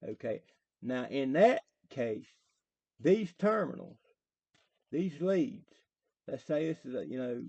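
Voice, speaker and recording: With a strong Southern West Virginia accent, a man speaks in a fairly high voice with a dark, mellow tone. His pace is very slow, with long, frequent pauses and very wide pitch swings. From US South, southern West Virginia. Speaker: electrician explaining theory. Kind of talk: tutorial. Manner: casual, hesitant with fillers.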